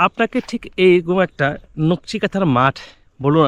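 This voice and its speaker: Against a quiet background, a man speaks in a high voice with a dry, close sound and no echo. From Bangladesh, Manikganj. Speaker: travel vlogger. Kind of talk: vlog narration. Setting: outdoors in a mustard field. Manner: halting, many fillers.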